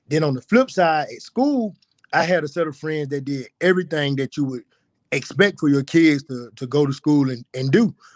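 Speaking in an Alabama accent, a man uses a fairly high pitch with ordinary pitch variation and big swings in loudness. His pace is moderate, and the sound is dry and close with no echo. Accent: Southern US (Alabama). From US South, rural west Alabama (Pickens County). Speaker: personal trainer and gym owner. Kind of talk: interview, life story. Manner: many fillers and repetitions.

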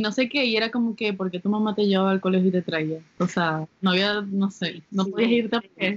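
A woman uses an ordinary speaking voice at a moderate pace with ordinary pitch variation. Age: 20s. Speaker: podcast co-host. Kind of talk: casual chat. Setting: home during quarantine.

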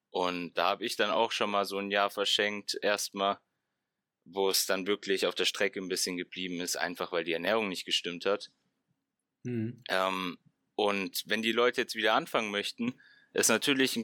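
With a fairly low pitch and a bright, sharp tone, a man speaks at a moderate pace. His pitch varies in an ordinary way, and the sound is dry and close with no echo. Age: 20s. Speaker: fitness science student. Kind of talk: casual chat. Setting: video call.

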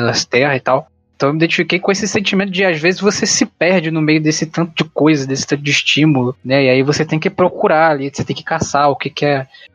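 With hardly any pauses, a man talks at a fairly quick pace in an unremarkable speaking voice, fairly high in pitch with ordinary pitch variation. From Rio de Janeiro, Brazil. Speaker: podcast host. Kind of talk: casual chat; scripted outro.

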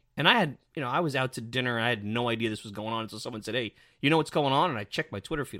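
In a New York accent, a man speaks very fast with a bright, sharp tone at medium pitch, with ordinary pitch variation. His loudness swings widely on a very clean recording with a silent background. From New York City (Brooklyn). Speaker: sports podcast host. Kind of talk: opinion commentary podcast. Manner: animated.

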